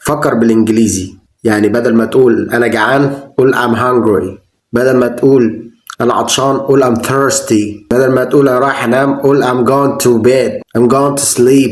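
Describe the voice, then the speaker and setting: A man in an Egyptian accent, medium in pitch, with fairly even intonation and very even loudness. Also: moderate pace. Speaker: English teacher. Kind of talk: language tutorial talk to camera.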